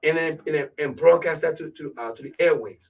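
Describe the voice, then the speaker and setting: A man with a strong Ivorian accent speaks with ordinary pitch variation. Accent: thick West African (Ivorian). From Ivory Coast, West Africa. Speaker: radio show host / DJ. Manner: casual, conversational.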